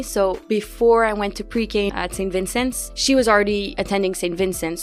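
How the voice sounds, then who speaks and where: The speaker has a Quebec accent and ordinary pitch variation. Music plays in the background. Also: woman. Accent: Québécois French-accented English. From Quebec City, Canada. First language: French. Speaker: student. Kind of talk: podcast interview answer.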